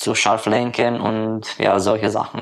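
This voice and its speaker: A man with a Romanian accent speaks at a medium pitch in a monotone, flat intonation. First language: Romanian (speaking German). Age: 20s. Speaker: delivery driver. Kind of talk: voice messages. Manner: halting.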